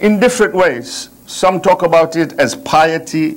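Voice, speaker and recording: A man is speaking here. His voice is high-pitched. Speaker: religious lecturer. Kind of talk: religious lecture. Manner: slow, deliberate.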